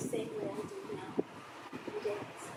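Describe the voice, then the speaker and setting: A woman's pitch swings very widely. Her voice carries audible room echo and noticeable background noise. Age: 60s. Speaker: swimming and dance instructor. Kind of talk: casual monologue. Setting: outdoors at a pool.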